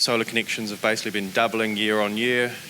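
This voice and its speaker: With a British accent, a man speaks at a medium pitch over noticeable background noise. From UK. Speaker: solar company founder. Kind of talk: webinar presentation. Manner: hesitant, many fillers.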